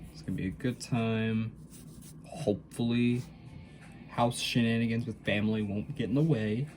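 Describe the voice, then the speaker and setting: With music in the background, a man speaks at a medium pitch with ordinary pitch variation, big swings in loudness and long, frequent pauses. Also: moderate pace. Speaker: hobby artist vlogger. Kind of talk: casual chat while drawing. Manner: hesitant, many fillers.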